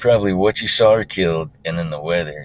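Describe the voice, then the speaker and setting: His pitch sits very deep and low. This man keeps up a fairly quick pace. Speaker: website creator, hunter. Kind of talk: screen-recorded tutorial. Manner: fast; casual with many fillers.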